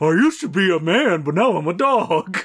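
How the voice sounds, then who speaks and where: The speaker puts on a character voice. The delivery moves at a moderate pace. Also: man. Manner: goofy.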